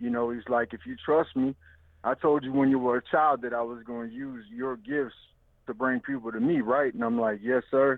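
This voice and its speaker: With a Louisiana accent, the speaker keeps a moderate pace and fairly even intonation. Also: man, medium pitch for a man. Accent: Southern US, Louisiana. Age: 30s. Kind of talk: casual interview.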